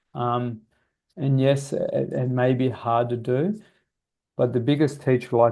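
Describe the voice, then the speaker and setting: The speaker talks at a fairly slow pace with an Australian accent and ordinary pitch variation. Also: man. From Australia, Sydney. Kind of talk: webinar Q&A. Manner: halting.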